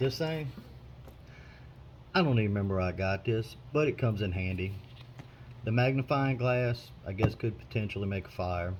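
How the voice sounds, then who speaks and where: A man with an American accent speaks at a moderate pace in a fairly low, somewhat breathy voice, using lively intonation and long, frequent pauses. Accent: Southern US, noticeable (said ironically). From US South. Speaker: prepper video maker. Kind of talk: show-and-tell tutorial. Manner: casual, relaxed with hesitations.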